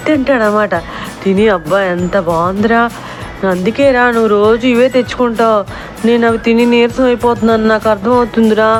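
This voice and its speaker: A woman speaks with fairly even intonation over music in the background. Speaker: voiceover artist. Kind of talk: children's story told to a child. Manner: warm, affectionate. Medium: read story.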